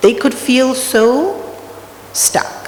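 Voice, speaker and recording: A woman speaks with lively intonation. Noticeable background noise and audible room echo are present. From Australia. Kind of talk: spiritual talk. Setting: temple hall with audience. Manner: conversational.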